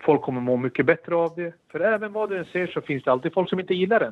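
A man is speaking. He talks at a very fast pace. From Sweden, Stockholm. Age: 30s. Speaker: former footballer and pundit. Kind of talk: casual chat. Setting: remote link.

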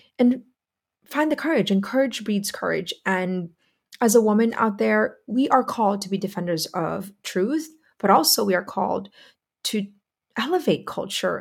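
A woman at medium pitch talks at a moderate pace with lively intonation and a somewhat breathy sound, leaving long, frequent pauses. The recording is very clean, with a silent background. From Philippines. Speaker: podcast host, women's school founder. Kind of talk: monologue commentary.

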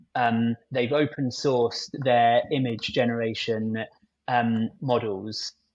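A man speaks at a very slow pace in a southern English accent. His medium-pitched voice keeps a monotone, flat intonation. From southern England, near London. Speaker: agency technical lead, AI guest. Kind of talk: interview conversation.

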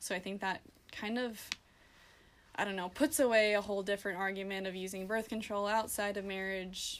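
In an American accent, a woman with a normal speaking voice talks at a fairly quick pace, medium pitch, and fairly even intonation. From US Midwest, South Dakota. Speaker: college student. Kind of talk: casual chat.

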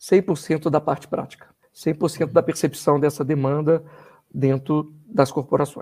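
Speaking at a fairly slow pace, a man has a fairly high pitch, a dark, mellow tone, fairly even intonation and a somewhat breathy quality. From Brazil, Belo Horizonte, Minas Gerais (born in Rio de Janeiro, moved at 13). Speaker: university professor and doctoral student. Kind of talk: podcast interview.

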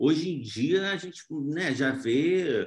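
A man's voice with lively intonation. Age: 30s. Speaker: actor and screenwriter. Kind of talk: interview.

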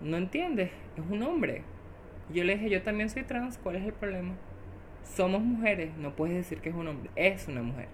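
Audible room echo surrounds a woman speaking at a medium pitch and a moderate pace with lively intonation. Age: 20s. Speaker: social communicator. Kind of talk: interview.

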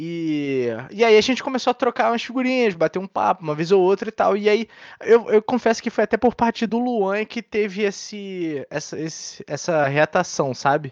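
A man's high-pitched voice at a moderate pace, lively in intonation, with a dry, close sound and no echo. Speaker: podcast co-host. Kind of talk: casual chat.

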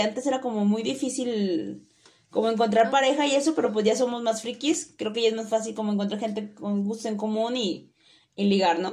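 With a Mexican accent, a woman talks at a fairly high pitch. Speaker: podcast co-host. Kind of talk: casual chat.

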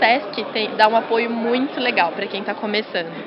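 A woman's fairly high-pitched voice carries audible room echo and noticeable background noise. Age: 20s. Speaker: digital marketing agency founder. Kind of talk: interview.

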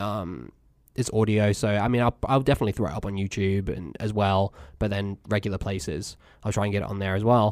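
Fairly low in pitch, a man with an American accent speaks at a fairly quick pace with fairly even intonation. The recording is very clean, with a silent background. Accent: English, fading slightly from US exposure. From England. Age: 20s. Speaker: podcast host. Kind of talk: casual chat.

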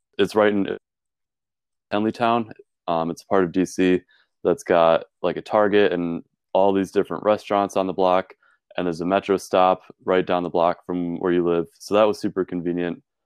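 Against a quiet background, a man with a very deep, low pitch and an American accent speaks at a moderate pace in a monotone, flat intonation, with long, frequent pauses. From Wisconsin, US Midwest. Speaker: college student. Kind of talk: interview.

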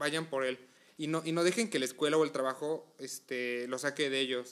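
At a moderate pace, a man with a Mexican accent talks in a fairly high voice with ordinary pitch variation. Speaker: podcast co-host. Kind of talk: casual chat.

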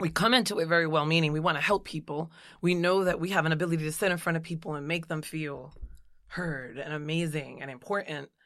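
A woman with an American accent talks at a very fast pace in a fairly low voice with ordinary pitch variation, on a very clean recording with a silent background. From US Northeast, Jersey City, New Jersey. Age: 40s. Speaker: psychologist. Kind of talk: interview conversation.

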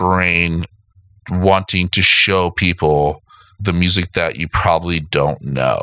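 In a bright, sharp tone, a man with an American accent speaks at a very slow pace. His pitch varies ordinarily, and the sound is dry and close with no echo. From South Florida. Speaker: podcast host, vinyl collector. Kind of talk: casual chat. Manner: halting, many fillers.

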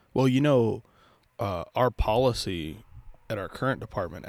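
A man speaks at a moderate pace. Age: 20s. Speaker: police officer podcast host. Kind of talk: casual chat.

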